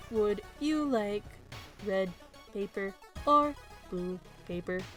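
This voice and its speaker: A put-on character voice from a woman, medium pitch, very slow pace, lively intonation, clear music in the background. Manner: eerie.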